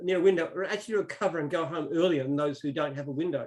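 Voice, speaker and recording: A man with an Australian accent talks very fast with fairly even intonation. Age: 60s. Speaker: business founder. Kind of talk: interview.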